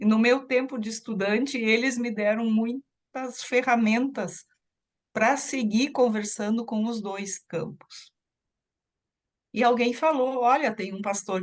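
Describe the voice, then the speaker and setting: A woman's fairly high voice, with ordinary pitch variation, moves at a very slow pace. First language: German (speaking Portuguese). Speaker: psychoanalyst. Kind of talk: interview.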